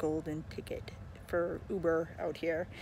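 A woman is heard in a dry sound with no echo. Light background noise sits behind her. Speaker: rideshare driver vlogger. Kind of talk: casual vlog chat. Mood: relaxed, mildly excited. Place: street. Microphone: phone near.

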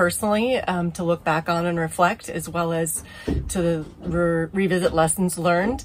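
A woman with an unremarkable speaking voice talks at a moderate pace, fairly low in pitch, with fairly even intonation. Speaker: sailing vlogger. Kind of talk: casual vlog chat. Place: boat. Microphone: phone near.

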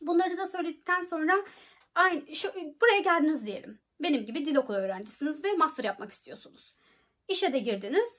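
Fairly quick delivery with very wide pitch swings and big swings in loudness, over a quiet background. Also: woman, extremely high pitch for a woman. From Turkey. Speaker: YouTuber giving study-abroad advice. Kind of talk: informational vlog. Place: home room. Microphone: phone near.

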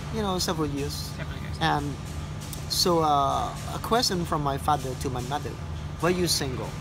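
A man's voice at a moderate pace amid noticeable background noise. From Cambodia. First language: Khmer. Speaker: tour guide. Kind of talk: personal testimony of surviving the Khmer Rouge era. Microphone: phone near.

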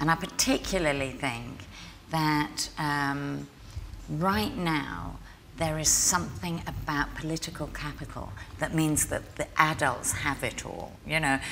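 A woman speaks at a fairly slow pace. Light background noise can be heard. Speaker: interviewee. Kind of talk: interview answer. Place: hall.

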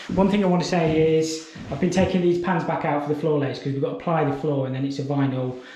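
The speech moves at a very fast pace with fairly even intonation. Audible room echo surrounds it. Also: man. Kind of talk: casual vlog chat. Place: home room. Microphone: phone near.

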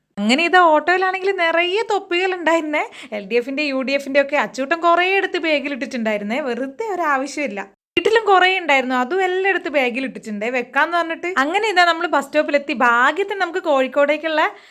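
A woman's high, bright, sharp voice with lively intonation. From Kerala, Malappuram (Nilambur). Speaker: family vlogger. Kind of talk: vlog narration. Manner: chatty, conversational.

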